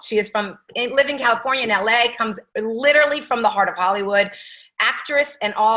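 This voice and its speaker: Fairly high in pitch, a woman talks at a fairly quick pace in a bright, sharp tone with a slight Atlanta accent and ordinary pitch variation. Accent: slight Atlanta twang. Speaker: team leader hosting call. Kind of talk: interview on team call. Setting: video call.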